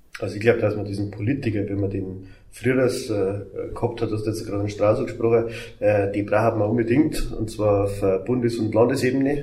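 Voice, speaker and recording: In a room with audible echo, a man speaks in a fairly low, somewhat breathy voice with a dark, mellow tone and fairly even intonation. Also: fairly quick pace. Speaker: mayor. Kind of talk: casual chat.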